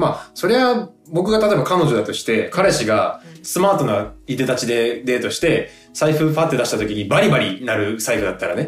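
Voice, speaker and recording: A man at a moderate pace, his pitch swinging very widely, with music in the background. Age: 20s. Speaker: actor and podcast co-host. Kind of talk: casual chat. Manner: animated.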